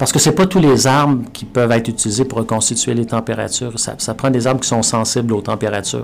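A man at medium pitch with ordinary pitch variation, talking at a very fast pace with hardly any pauses. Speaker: professor. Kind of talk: interview. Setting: studio. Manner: halting, with repetitions.

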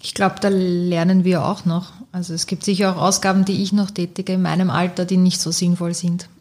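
A woman's somewhat breathy, medium-pitched voice with monotone, flat intonation. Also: fairly quick pace, hardly any pauses. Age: 30s. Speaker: bank marketing employee. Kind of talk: casual chat.

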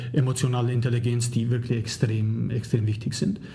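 Heard with audible room echo and noticeable background noise, a man with a non-native accent talks at a moderate pace. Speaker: leadership professor. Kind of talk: interview. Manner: halting, many fillers.

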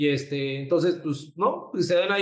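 Using fairly even intonation, a man with a Mexican accent speaks at a fairly high pitch and a moderate pace. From Mexico City. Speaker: photographer and designer. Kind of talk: interview. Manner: halting, repeats words.

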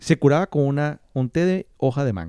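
The man talks at a moderate pace in a fairly high pitch. His intonation is lively, and he has a plain, everyday voice. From Maracaibo, Venezuela. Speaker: podcast co-host. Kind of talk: casual chat.

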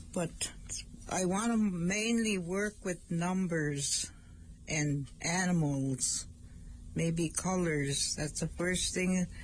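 Somewhat breathy and fairly low in pitch, a woman with an Ojibwe accent speaks at a very slow pace with very even loudness. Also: ordinary pitch variation. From northern Minnesota reservation. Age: 70s. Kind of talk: language lesson on community radio. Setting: radio studio. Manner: halting.

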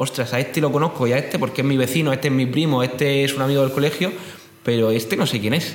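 A man speaks very fast at a medium pitch, with ordinary pitch variation and very even loudness. Noticeable background noise and audible room echo are present. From Spain, Murcia. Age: 20s. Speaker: startup founder. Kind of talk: interview.

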